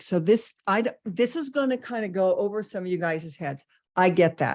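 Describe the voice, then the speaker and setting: The delivery has lively intonation and an animated tone at a moderate pace. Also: woman. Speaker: business coach. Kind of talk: webinar lecture. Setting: online webinar.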